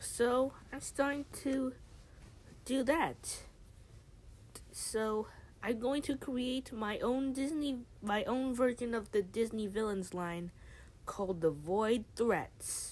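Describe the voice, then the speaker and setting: At a very slow pace with long, frequent pauses, a woman speaks in a high pitch with ordinary pitch variation. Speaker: YouTuber. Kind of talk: casual announcement video.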